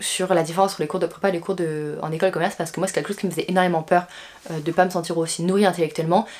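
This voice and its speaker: Talking at a very fast pace, a woman uses fairly even intonation and a medium pitch. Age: 20s. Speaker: business school student. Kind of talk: vlog. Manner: casual, frequent hesitations.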